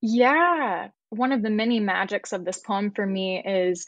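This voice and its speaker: Using a plain, everyday voice, a woman with an American accent speaks at a fairly slow pace with fairly even intonation. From US South, Birmingham, Alabama. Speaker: poet. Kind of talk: casual chat about poetry.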